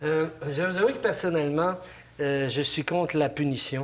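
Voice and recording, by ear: Here a man speaks at a fairly high pitch. He keeps a moderate pace and ordinary pitch variation.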